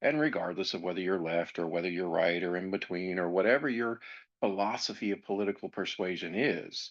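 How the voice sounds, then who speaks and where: Speaking fairly quickly with an American accent, a man has a very deep, low pitch and ordinary pitch variation. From grew up in a US military family. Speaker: podcast host on anger management. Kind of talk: educational podcast monologue.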